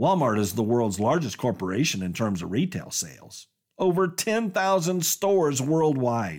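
In a very clean recording with a silent background, a man with an American accent talks at a fairly slow pace, his pitch swinging very widely. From Colorado, small town. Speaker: business podcast host. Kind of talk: scripted narration.

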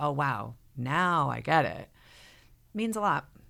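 A woman speaks with an American accent at a fairly slow pace. The recording is very clean, with a silent background. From Connecticut, Fairfield County. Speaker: mother of triplets sharing birth story. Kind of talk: casual interview, personal story.

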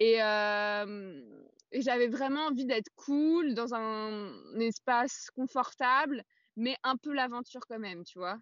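A woman's high voice moves very slowly, its pitch shifting in a usual way. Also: big swings in loudness. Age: 20s. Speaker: adventurer and feminist author. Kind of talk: casual interview.

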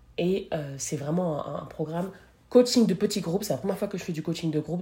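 A woman's somewhat breathy voice, fairly low in pitch, with a dark, mellow tone and ordinary pitch variation. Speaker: podcast host. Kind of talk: solo podcast monologue. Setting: recording while traveling in Colombia. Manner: fast; many filler hesitations. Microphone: no microphone, device mic.

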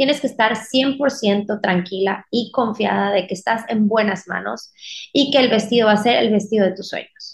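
A somewhat breathy woman with a fairly high pitch and ordinary pitch variation speaks at a moderate pace. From Mexico, Mérida, Yucatán. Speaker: wedding dress designer. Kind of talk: casual interview.

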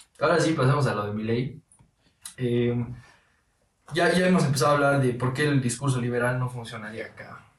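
A man's medium-pitched voice in a room with audible echo, fairly quick but broken by long, frequent pauses, with ordinary pitch variation. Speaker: podcast host. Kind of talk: casual interview. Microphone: audio problem in this episode.

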